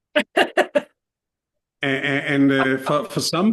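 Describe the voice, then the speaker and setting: This man has a Danish accent. His pitch sits at a medium level. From Denmark. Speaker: startup mentor and serial founder. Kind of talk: podcast interview. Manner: halting, many fillers and repeated starts.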